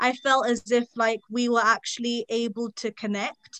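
A fairly high-pitched woman with a British accent and monotone, flat intonation. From England. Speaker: law student. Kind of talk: casual chat.

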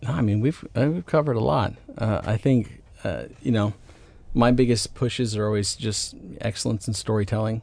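Speaking at a moderate pace with an American accent, a man uses an unremarkable speaking voice at medium pitch with ordinary pitch variation. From US South, Atlanta, Georgia. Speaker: film writer and director. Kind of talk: interview conversation.

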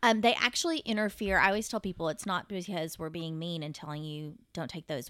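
A woman with a Texan accent talks at a fairly quick pace with hardly any pauses and big swings in loudness. Her bright, sharp tone sits at a fairly low pitch with ordinary variation, in a very clean recording with a silent background. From Texas (Fort Worth). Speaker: obstetrician-gynecologist. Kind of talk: casual interview.

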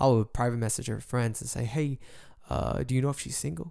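A man at a medium pitch and a fairly quick pace, with ordinary pitch variation, in a very clean recording with a silent background. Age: young. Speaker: solo podcaster. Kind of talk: casual monologue. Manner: halting.

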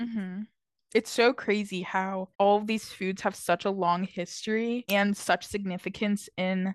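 An ordinary speaking voice with an American accent moves at a moderate pace with fairly even intonation. The sound is dry and close with no echo, against a quiet background. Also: woman. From New Jersey, US. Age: 20s. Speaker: college student podcast co-host. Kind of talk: scripted casual chat.

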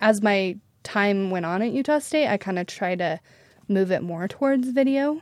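A woman speaks with a plain, everyday voice at a medium pitch and moderate pace. Her intonation is lively, and the recording is very clean with a silent background. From Idaho, US. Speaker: wedding videographer. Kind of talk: casual interview.

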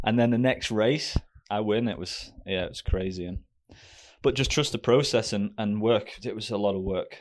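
A man with a fairly low pitch talks at a moderate pace with fairly even intonation on a very clean recording with a silent background. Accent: British. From Great Britain. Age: 30s. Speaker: professional ski racer. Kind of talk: casual interview.

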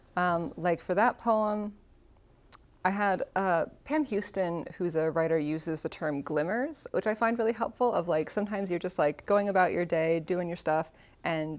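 A woman's fairly low voice, an unremarkable speaking voice at a moderate pace with ordinary pitch variation, in a very clean recording with a silent background. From Seattle, Washington. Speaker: poet laureate. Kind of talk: interview.

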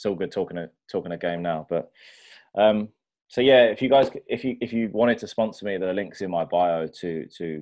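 Here a man speaks at a moderate pace with a British accent. His pitch varies in an ordinary way. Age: 20s. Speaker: personal trainer. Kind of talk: casual chat.

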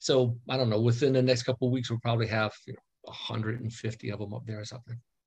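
Somewhat breathy man's voice at a medium pitch, very fast in pace, with monotone, flat intonation. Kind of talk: casual chat. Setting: video call.

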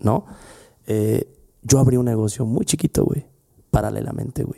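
A man talks at a moderate pace with a Mexican accent. The sound is dry and close, with no echo. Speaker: podcast host, lawyer and former law professor. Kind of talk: casual chat.

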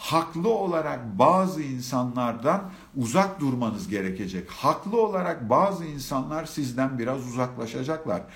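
Amid noticeable background noise and audible room echo, a man at a medium pitch talks at a fairly slow pace with very wide pitch swings. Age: 40s. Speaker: live-stream speaker on self-love. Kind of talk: live-stream talk. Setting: live stream with comments.

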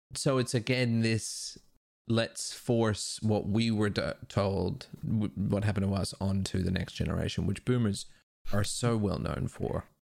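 In a normal speaking voice, a man talks at a fairly slow pace with a fairly low pitch, ordinary pitch variation and very even loudness. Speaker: podcast guest. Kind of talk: casual chat. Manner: profane, casual.

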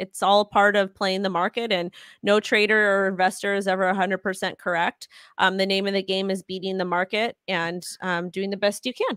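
In an American accent, a woman speaks at a moderate pace and medium pitch with monotone, flat intonation, in a very clean recording with a silent background and a dry, close sound with no echo. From Los Angeles, California. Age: 30s. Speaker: crypto influencer. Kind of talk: casual interview. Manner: halting.

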